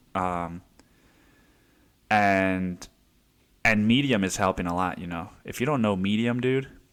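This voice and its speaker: A man talks rather slowly. There is music behind him. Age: 20s. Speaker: podcast host. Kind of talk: casual monologue. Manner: halting, many fillers.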